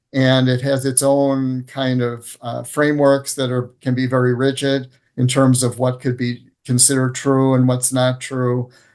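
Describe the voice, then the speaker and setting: A man's medium-pitched voice, monotone and flat, at a fairly slow pace. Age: 60s. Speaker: plant advocate and nonprofit director. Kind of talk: interview. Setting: video call. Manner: halting, many fillers.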